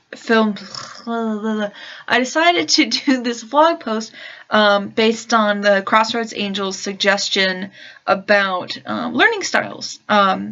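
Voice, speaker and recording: Speaking at a very slow pace, a woman uses a fairly high pitch. Her pitch varies in an ordinary way. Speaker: vlogger and religious studies teacher. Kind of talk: casual vlog monologue. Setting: at home in her room. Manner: hesitant, many fillers. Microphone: new laptop mic, better sound quality.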